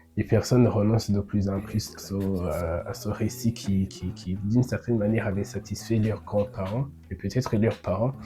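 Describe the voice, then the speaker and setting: A man speaks with a Burundian accent at a fairly low pitch. There is music in the background. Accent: Burundian, rural. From Burundi, rural. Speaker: podcaster. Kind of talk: improvised monologue. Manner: halting, many repetitions.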